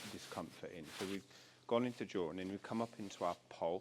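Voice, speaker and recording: The speech races along at a very fast pace. Its intonation stays fairly even. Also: man. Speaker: animal communicator. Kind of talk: consultation session. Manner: halting.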